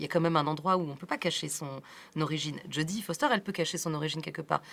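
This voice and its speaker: At a very fast pace, a woman with a very deep, low voice speaks in a fairly even intonation. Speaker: film director. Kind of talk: interview.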